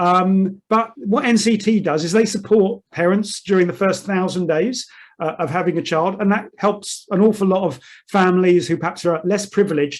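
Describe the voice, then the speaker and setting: A man's high-pitched voice with a British accent. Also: ordinary pitch variation, moderate pace, quiet background. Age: 60s. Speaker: chairman of a surveyors' association. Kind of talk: webinar presentation.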